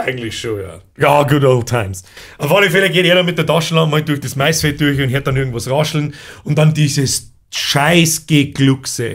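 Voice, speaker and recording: Fairly high pitch, ordinary pitch variation and a somewhat breathy quality in a man's voice. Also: moderate pace. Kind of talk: casual podcast talk.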